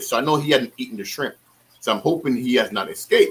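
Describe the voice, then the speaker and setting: A bright, sharp tone rides very wide pitch swings at a fairly quick pace. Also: man. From the Caribbean islands. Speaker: aquarium hobbyist YouTuber. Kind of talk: casual chat on a livestream. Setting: online livestream call on laptop. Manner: casual, many fillers and repetitions.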